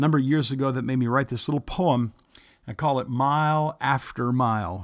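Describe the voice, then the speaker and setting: Against a silent background on a very clean recording, a man speaks in a normal speaking voice at a medium pitch, with ordinary pitch variation and a fairly quick pace. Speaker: podcast host and pastor. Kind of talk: poem reading. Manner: gentle, measured.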